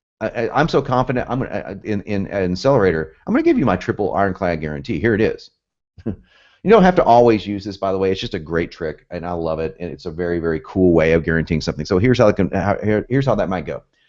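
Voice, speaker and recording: A man with an American accent, fairly low-pitched, talking very fast in an animated tone with lively intonation against a quiet background. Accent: southern US, occasionally northern. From US, both South and North. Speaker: copywriting instructor. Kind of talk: webinar lecture. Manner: fast, animated.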